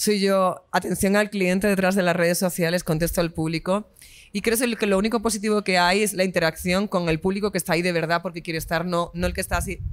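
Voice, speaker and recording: Speaking very fast, a woman keeps a medium pitch and fairly even intonation. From Spain. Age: 20s. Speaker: singer. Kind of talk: interview.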